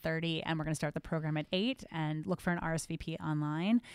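A woman with an American accent speaks very fast in a fairly low voice. The recording is very clean, dry and close, with no echo and a silent background. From New Jersey. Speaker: rabbi. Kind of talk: casual chat.

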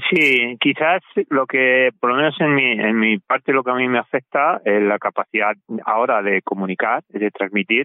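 This man talks at a moderate pace with a medium-pitched voice and ordinary pitch variation. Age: 60s. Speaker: cycling adventurer and author. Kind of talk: interview.

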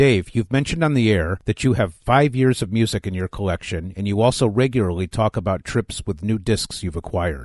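Against a quiet background, a man with a fairly low pitch talks at a moderate pace with lively intonation, the sound dry and close with no echo. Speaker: radio host. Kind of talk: radio show presenting. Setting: studio.

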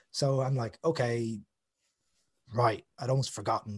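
A man speaks at a medium pitch. His voice is somewhat breathy. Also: dry, close sound with no echo. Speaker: author and musician. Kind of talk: casual chat.

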